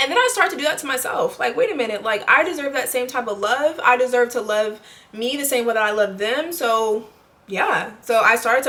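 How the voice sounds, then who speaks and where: Over noticeable background noise, a woman with a high voice speaks at a fairly quick pace with ordinary pitch variation. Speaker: lifestyle vlogger. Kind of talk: casual monologue to camera. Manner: halting, self-correcting.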